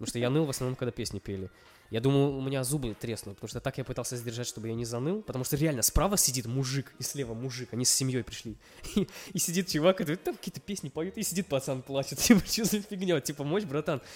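A man races along at a very fast pace, his intonation lively and his pitch medium. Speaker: podcast co-host. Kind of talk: casual chat. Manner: quiet.

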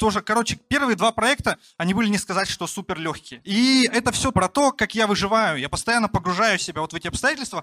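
A man's high, raised and projected voice, bright and sharp in tone, with lively intonation at a fairly quick pace, dry and close with no echo on a very clean recording with a silent background. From rural Russia. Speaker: entrepreneur, barbershop founder. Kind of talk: personal storytelling talk. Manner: casual, many fillers.

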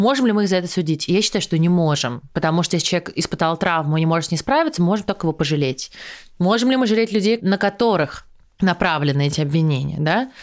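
A woman speaks very fast with lively intonation and a fairly low pitch. Her loudness is very even, and the recording is very clean with a silent background. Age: 20s. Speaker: former TV presenter and podcaster. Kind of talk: casual interview chat.

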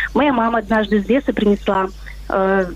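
A woman with a fairly high pitch is heard over noticeable background noise. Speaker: caller. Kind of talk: storytelling. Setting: phone call.

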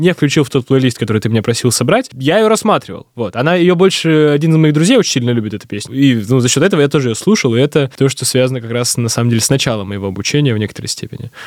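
A man talks at a very fast pace in a fairly high pitch, his intonation lively. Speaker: podcast producer and graduate student. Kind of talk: casual interview chat.

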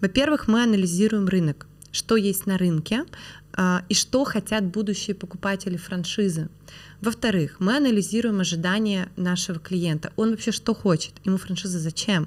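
An unremarkable speaking voice from a woman, medium in pitch, at a moderate pace with ordinary pitch variation. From Perm, Russia. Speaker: franchising expert and business founder. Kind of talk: casual interview conversation.

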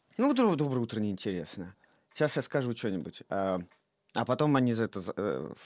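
A man with an ordinary speaking voice, medium pitch and lively intonation at a moderate pace, on a very clean recording with a silent background. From Russia, Saint Petersburg. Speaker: theatre director. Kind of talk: casual chat.

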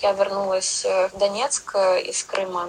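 A woman speaks over noticeable background noise. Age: 20s. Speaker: English teacher and language school founder. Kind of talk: podcast interview. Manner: halting.

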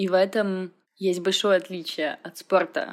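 A woman with a normal speaking voice, medium pitch and a moderate pace. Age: 20s. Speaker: fitness trainer and dance practitioner. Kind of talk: recorded testimony.

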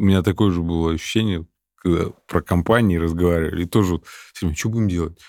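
A fairly quick pace and ordinary pitch variation on a very clean recording with a silent background. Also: man. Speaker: podcast co-host. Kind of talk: casual chat. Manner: blunt, colloquial.

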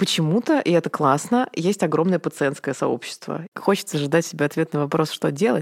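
An unremarkable speaking voice at a moderate pace. The loudness stays very even throughout. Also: woman, fairly low pitch for a woman, ordinary pitch variation. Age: 30s. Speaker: event producer. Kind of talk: casual chat.

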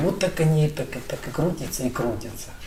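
A man talks at a moderate pace with ordinary pitch variation, with audible room echo and noticeable background noise around him. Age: 60s. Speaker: businessman, telecom company head. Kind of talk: conversational interview.

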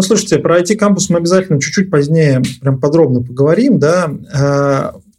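A man talks at a fairly quick pace with ordinary pitch variation. His tone is dark and mellow, and somewhat breathy. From Nizhny Novgorod, Russia. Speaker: podcast host. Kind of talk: interview.

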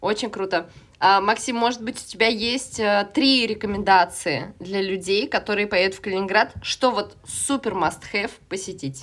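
Her medium-pitched voice moves at a moderate pace with ordinary pitch variation as this woman talks. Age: 30s. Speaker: podcast host. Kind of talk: casual chat. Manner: animated.

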